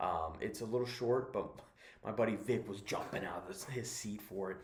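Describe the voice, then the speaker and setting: Whispering at a moderate pace, a man is heard with audible room echo. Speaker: movie reviewer. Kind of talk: casual review monologue. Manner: halting, many fillers.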